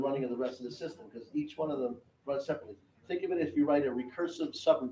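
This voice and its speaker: A man's dark, mellow voice with ordinary pitch variation, set in audible room echo. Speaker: technology executive giving a master class. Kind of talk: lecture. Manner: fast.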